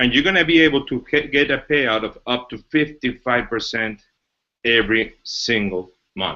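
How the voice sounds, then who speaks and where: Speaking at a moderate pace with a Mexican accent, a man uses a medium pitch, a bright, sharp tone and ordinary pitch variation. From Mexico. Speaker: business executive presenting a company. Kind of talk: webinar presentation. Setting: online webinar.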